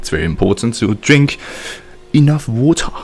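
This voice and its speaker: Lively intonation marks a man's speech in a German accent. He keeps a moderate pace over noticeable background noise. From German-speaking country. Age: 20s. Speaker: video game streamer. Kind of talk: live stream chat. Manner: casual.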